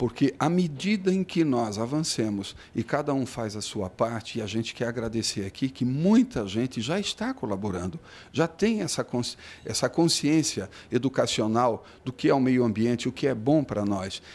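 Heard on a very clean recording with a silent background, a man with a normal speaking voice talks at a moderate pace, medium in pitch, with lively intonation. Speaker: municipal official. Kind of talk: news interview.

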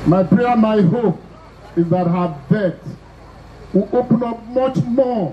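A man's voice with ordinary pitch variation over light background noise. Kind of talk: formal speech. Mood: solemn, condolatory. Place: stage. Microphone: handheld.

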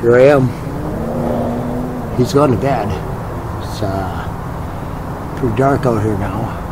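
A man at a very slow pace over loud background noise. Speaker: vlogger. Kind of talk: casual vlog chat, hushed. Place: garden. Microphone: phone near.

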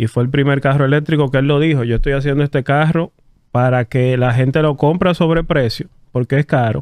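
Using a plain, everyday voice, a man talks at a moderate pace with a fairly high pitch and fairly even intonation. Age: 30s. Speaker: electric vehicle dealer representative. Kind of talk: casual interview chat. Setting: studio.

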